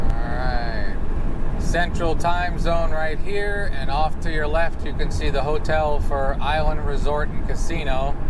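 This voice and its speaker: The tone is relaxed and the pace fairly slow. Background noise is noticeable. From New York. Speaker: RV travel vlogger. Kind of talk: casual driving vlog monologue. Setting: driving in an RV. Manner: rambling, relaxed.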